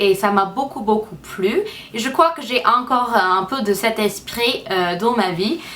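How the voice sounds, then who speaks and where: A woman with an English accent speaks at a fairly high pitch and ordinary pitch variation, with noticeable background noise. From United States. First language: English (speaking French). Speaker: beauty vlogger. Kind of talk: casual vlog talk to camera. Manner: halting, many hesitations.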